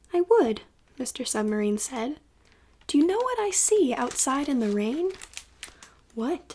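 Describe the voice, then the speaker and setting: Over noticeable background noise, a woman talks at a fairly slow pace with a high pitch and very wide pitch swings. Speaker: ASMR creator. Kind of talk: ASMR bedtime story reading.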